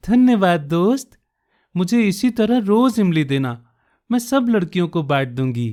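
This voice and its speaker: A dark, mellow tone with very wide pitch swings on a very clean recording with a silent background. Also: man. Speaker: radio jockey and storyteller. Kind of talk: short story narration (audio storytelling podcast).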